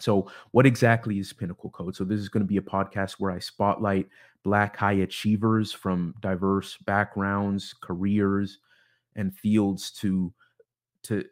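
Speaking with a US West Coast accent, a man talks at a fairly slow pace. His pitch is fairly low, on a very clean recording with a silent background. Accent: US West Coast American. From US Pacific Northwest, Seattle suburbs (Bellevue, Issaquah). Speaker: podcast host. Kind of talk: solo podcast introduction monologue. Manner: halting, many repeated words and fillers.

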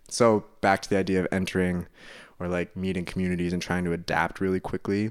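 The speech comes at a very fast pace in a flat monotone, on a very clean recording with a silent background. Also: man, very deep, low pitch for a man. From Hawaii, California and Dallas, Texas (moved often). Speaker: musician and music educator. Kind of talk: casual interview chat.

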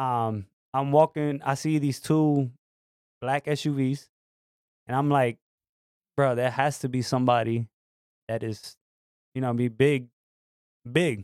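Recorded dry and close with no echo on a very clean, silent background, a man with a New York accent speaks fairly slowly at medium pitch, with fairly even intonation and long, frequent pauses. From New York City. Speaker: guest co-host. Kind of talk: casual chat.

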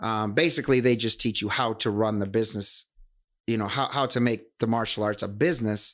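Delivered at a moderate pace in an American accent, the speech has fairly even intonation in a very clean recording with a silent background. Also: man. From Wisconsin. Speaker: martial arts instructor. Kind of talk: casual chat. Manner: hesitant with many fillers.

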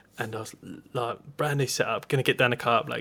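A man's bright, sharp voice in an Essex accent, very fast and flat in intonation. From Essex, England. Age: 30s. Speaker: podcast host, angler. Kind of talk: casual chat.

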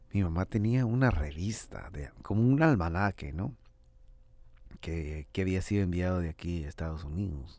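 A man's very deep, low, dark and mellow voice with lively intonation at a moderate pace, on a very clean recording with a silent background. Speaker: podcast host and rapper. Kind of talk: casual monologue. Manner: animated, slangy.

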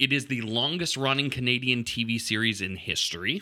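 A man with a bright, sharp tone speaks at a moderate pace in a very clean recording with a silent background. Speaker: podcast host. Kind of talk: casual comedic banter between a couple. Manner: playful, animated.

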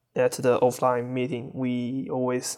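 With a Chinese accent, a man speaks at a fairly slow pace in a medium pitch and monotone, flat intonation. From China. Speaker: furry fan and photographer. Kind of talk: interview.

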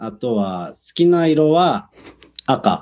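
A man is speaking. His pitch swings very widely. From Japan, Kumagaya, Saitama. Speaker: professional rugby player. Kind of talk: casual interview.

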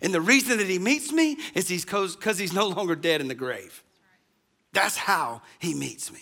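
This man talks at a moderate pace in a raised, projected voice, his high pitch making very wide swings with a bright, sharp tone. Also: big swings in loudness. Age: 40s. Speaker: pastor. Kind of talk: sermon.

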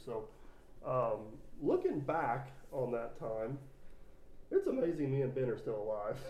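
A man's dark, mellow, somewhat breathy voice, with fairly even intonation at a moderate pace. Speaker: podcast host. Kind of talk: casual chat.

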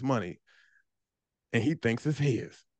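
Against a quiet background, a man talks in an animated tone at a medium pitch. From Washington DC. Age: 30s. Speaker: freight broker, business owner. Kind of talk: casual interview chat.

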